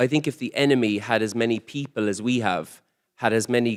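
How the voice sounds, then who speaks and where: A man with an Irish accent at a medium pitch, fairly quick pace and fairly even intonation, in a very clean recording with a silent background and a dry, close sound with no echo. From Ireland. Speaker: comedian. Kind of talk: panel discussion. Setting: conference stage with audience. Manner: fast.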